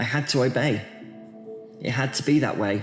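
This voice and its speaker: The speaker is a man with a moderate pace. Background music plays behind his words. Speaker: poet. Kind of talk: poetry reading. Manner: emotional.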